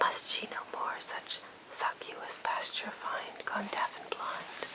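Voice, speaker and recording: The speech is whispered at a very slow pace. Noticeable background noise runs beneath it. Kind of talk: poetry reading; ASMR relaxation reading.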